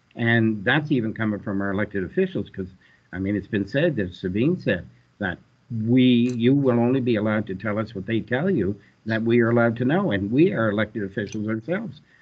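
A man talks fairly fast, his pitch varying in an ordinary way. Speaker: councillor. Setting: video call. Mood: concerned, urging. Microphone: video call.

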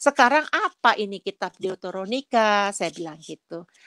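In a very clean recording with a silent background and a dry, close sound free of echo, a woman speaks at a moderate pace and medium pitch with lively intonation. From Nias, Indonesia. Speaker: churchgoer giving testimony. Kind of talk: testimony. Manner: halting.

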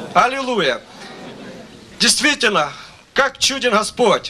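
An extremely high-pitched male voice at a very slow pace, with ordinary pitch variation and light background noise. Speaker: preacher. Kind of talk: sermon. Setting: church. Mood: fervent, worshipful. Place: stage. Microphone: handheld.

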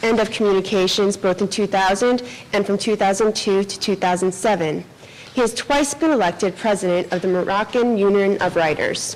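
The speaker is a woman at a moderate pace. Her pitch varies in an ordinary way. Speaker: event host introducing speakers. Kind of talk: formal introduction reading a bio. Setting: live event with audience. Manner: formal. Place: hall. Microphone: podium.

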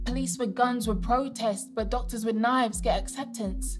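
Clear music plays in the background. A woman speaks at a fairly slow pace with monotone, flat intonation. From United Kingdom. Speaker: spoken word poet. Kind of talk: performance poetry. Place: studio. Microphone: lapel.

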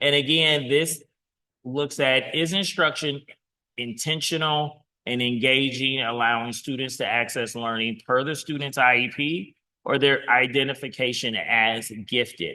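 A man with an ordinary speaking voice talks at a fairly slow pace. His medium pitch shows ordinary pitch variation. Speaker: school district administrator. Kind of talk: board meeting presentation.

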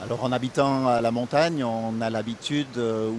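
Light background noise sits under a dry sound with no echo. A man speaks with fairly even intonation. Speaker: mountain guide. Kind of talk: interview answer. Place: waterside. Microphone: handheld.

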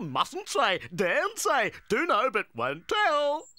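The put-on character voice is high-pitched and crawls along at a very slow pace. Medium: audio drama. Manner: excitable, theatrical.

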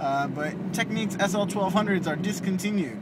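A mumbling man with ordinary pitch variation over noticeable background noise. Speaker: vlogger. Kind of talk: casual vlog monologue while driving. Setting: in a car. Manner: mumbles. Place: car. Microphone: phone near.

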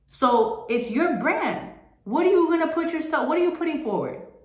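Extremely high in pitch, a woman talks at a moderate pace with lively intonation and an animated tone. Room echo can be heard. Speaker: motivational group call host. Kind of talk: motivational talk.

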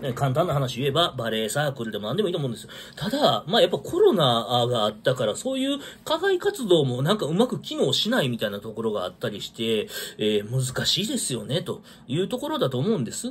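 A man talks at a very fast pace with light background noise behind him. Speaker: vlogger. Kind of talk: casual solo talk commenting on news. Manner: rambling, filler-heavy, casual. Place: home room. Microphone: phone near.

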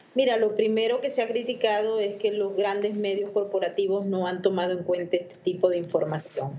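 A woman talks with ordinary pitch variation and hardly any pauses. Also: fairly quick pace. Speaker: correspondent. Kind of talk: news discussion. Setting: video call. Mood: calm, explanatory. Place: home room. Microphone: video call.

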